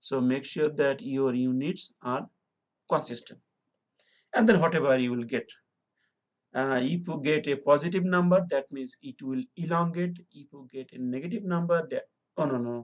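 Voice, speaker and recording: The pace is moderate. Long pauses come often. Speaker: engineering lecturer. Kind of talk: lecture. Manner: halting.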